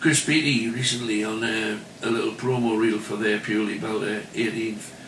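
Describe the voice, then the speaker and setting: A man with a Geordie accent speaks at a moderate pace, with noticeable background noise and audible room echo. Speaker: club entertainer and actor. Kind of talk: radio interview.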